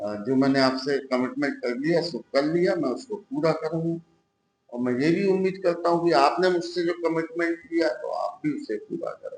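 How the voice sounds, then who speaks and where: A man talks with a high voice. The intonation rises and falls in a lively way. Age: 70s. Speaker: doctor and local politician. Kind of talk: interview. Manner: reflective, with hesitations.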